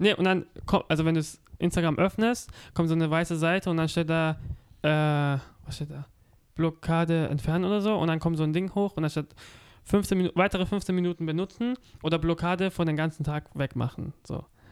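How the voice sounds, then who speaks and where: The delivery moves at a fairly quick pace, broken by long, frequent pauses. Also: very clean recording, silent background. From Offenburg, Baden, Germany. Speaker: podcast host. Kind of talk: casual chat. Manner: halting.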